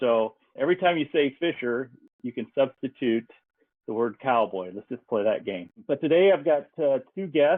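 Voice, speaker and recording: A man with an American accent and a normal speaking voice, medium in pitch, at a moderate pace with lively intonation. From Nebraska Sandhills, USA. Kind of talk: podcast host intro.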